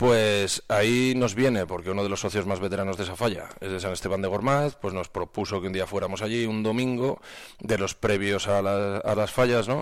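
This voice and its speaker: A man with a plain, everyday voice, fairly low-pitched, at a moderate pace with fairly even intonation, on a very clean recording with a silent background. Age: 40s. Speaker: cultural association president. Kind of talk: radio interview. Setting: radio studio.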